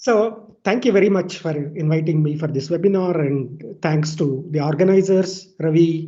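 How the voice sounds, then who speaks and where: Fairly slow, fairly high-pitched male speech with ordinary pitch variation. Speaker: scientist. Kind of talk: webinar talk. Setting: video call.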